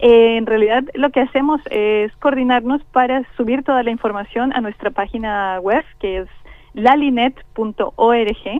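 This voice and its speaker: Her pitch is high for a woman, and she speaks at a fairly slow pace with ordinary pitch variation. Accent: Colombian. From Colombia. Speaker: scientist. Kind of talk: interview. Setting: phone call.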